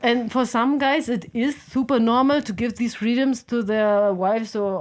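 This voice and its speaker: A woman speaks with a German accent at fairly high pitch. Her pitch varies in an ordinary way, in a very clean recording with a silent background. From Germany, Berlin. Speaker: podcast guest, software consultant and climber. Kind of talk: casual chat.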